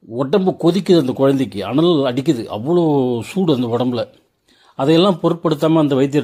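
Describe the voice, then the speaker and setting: Lively intonation runs through a man's fairly high voice. His tone is dark and mellow. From Tamil Nadu, Tindivanam. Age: 60s. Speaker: travel vlogger and commentator. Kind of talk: storytelling monologue over scenery. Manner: conversational, rhetorical questions.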